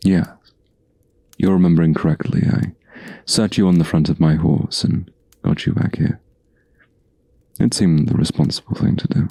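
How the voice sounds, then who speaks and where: A man does a gruff, put-on character voice with very deep, low pitch and very even loudness. He keeps a moderate pace but takes long, frequent pauses. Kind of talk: ASMR roleplay. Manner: soft-spoken.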